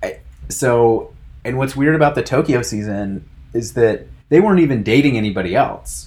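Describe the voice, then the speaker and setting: A man speaks with an American accent at a medium pitch and a moderate pace. His voice is somewhat breathy, with lively intonation. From United States. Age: 30s. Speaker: podcast co-host. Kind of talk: casual chat.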